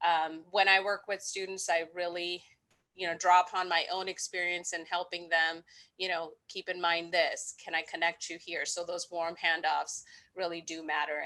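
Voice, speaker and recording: The tone is bright and sharp. Intonation stays flat and monotone at a moderate pace. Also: woman, fairly low pitch for a woman, quiet background. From India, moved to US at 13. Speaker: financial aid staff. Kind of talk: panel discussion.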